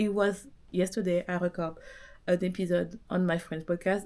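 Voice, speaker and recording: A woman with a strong French accent, fairly low pitch and a moderate pace. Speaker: business coach podcaster. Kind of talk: motivational monologue. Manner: animated.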